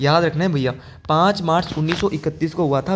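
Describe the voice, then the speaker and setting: He has an unremarkable speaking voice, fairly high in pitch for a man, with ordinary pitch variation. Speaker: exam-prep teacher. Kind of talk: lecture.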